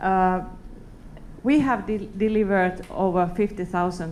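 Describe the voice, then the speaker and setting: With a Finnish accent, a woman speaks at a fairly slow pace and medium pitch, her intonation fairly even, amid audible room echo. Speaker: company executive. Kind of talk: conference talk. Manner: halting.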